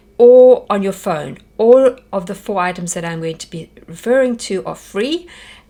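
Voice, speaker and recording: A woman with a South African accent speaks at a moderate pace with hardly any pauses, using a medium pitch, a dark, mellow tone, lively intonation and big swings in loudness. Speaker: homeschool teacher. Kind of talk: workshop presentation.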